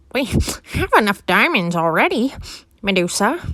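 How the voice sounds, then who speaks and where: A female-sounding voice puts on a character voice at medium pitch. The pace is moderate. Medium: read story.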